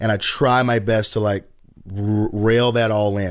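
A man with a Southern US accent talks in a monotone, flat manner at a fairly low pitch, recorded very cleanly against a silent background. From US South, Chattanooga, Tennessee. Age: 30s. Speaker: youth and college pastor. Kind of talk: casual interview.

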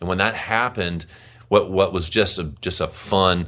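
A man talks with a Louisiana accent. His pace is moderate and his pitch varies in an ordinary way. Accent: Louisiana Southern US. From US South, Louisiana (Monroe). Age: 50s. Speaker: musician. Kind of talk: casual chat.

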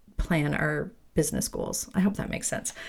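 On a very clean recording with a silent background, a woman talks. Her tone is animated and her pitch varies in an ordinary way. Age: 50s. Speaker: retail business coach and podcast host. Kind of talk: casual chat.

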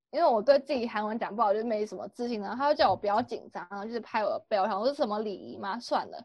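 A woman with a Taiwanese accent. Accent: Taiwanese Mandarin. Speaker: exchange student. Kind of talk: casual chat.

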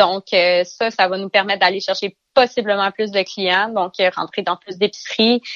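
A woman speaks at a fairly slow pace. Her medium-pitched voice has monotone, flat intonation. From Eastern Ontario, Canada. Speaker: vegetable farmer. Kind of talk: interview. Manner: halting, with repetitions.

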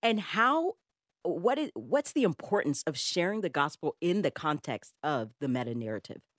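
In a dry, close recording with no echo and a silent background, a woman talks at a moderate pace and a fairly low pitch, with vocal fry and very wide pitch swings. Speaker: radio host. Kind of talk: radio talk show interview.

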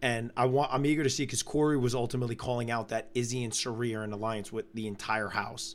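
A loud male voice at medium pitch, very fast with hardly any pauses and fairly even intonation. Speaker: reality TV podcast co-host. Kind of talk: casual live-stream recap chat.

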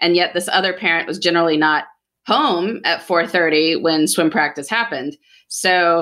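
An ordinary speaking voice moves at a moderate pace with ordinary pitch variation, on a very clean recording with a silent background. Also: woman. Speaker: podcast host and author. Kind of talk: casual chat.

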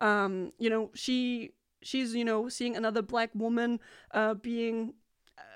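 Over a quiet background, a woman with a Danish accent speaks at a moderate pace in a fairly high pitch with monotone, flat intonation. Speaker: music radio host. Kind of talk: interview. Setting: video chat. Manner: halting.

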